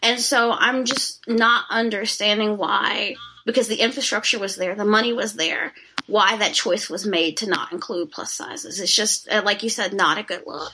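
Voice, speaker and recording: Amid noticeable background noise, a woman speaks at a moderate pace and a fairly high pitch with ordinary pitch variation. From rural Texas. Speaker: fat activist. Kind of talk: casual chat.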